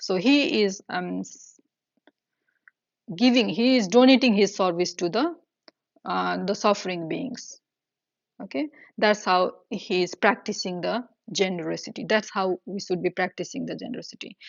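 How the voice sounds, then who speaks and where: The speaker has lively intonation and vocal fry. The pace is moderate, broken by long, frequent pauses. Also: woman, medium pitch for a woman. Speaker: Buddhist teacher. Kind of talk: dharma teaching. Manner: halting, many fillers.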